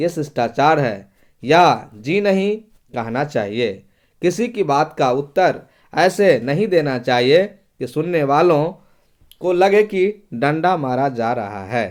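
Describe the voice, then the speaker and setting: A man's fairly high voice with very wide pitch swings, on a very clean recording against a silent background. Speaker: teacher. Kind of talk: tutorial. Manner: reading aloud with explanations.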